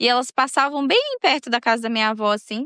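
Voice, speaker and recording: A woman speaks at a fairly quick pace with a high pitch and fairly even intonation. The sound is dry and close with no echo, and the background is quiet. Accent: Minas Gerais. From Minas Gerais, Brazil (São João do Oriente). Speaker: podcast host and storyteller. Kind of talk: casual personal monologue. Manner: chatty, conversational.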